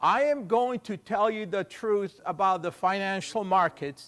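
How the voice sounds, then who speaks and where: Recorded very cleanly against a silent background, a man with a high pitch speaks at a fairly slow pace. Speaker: forex trader presenting a trading seminar. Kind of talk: seminar presentation.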